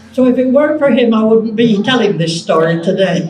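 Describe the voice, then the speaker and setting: Her voice is fairly high for a woman, with ordinary pitch variation. Noticeable background noise and audible room echo fill the recording. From Lancashire, England. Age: 90s. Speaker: senior community resident. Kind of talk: interview.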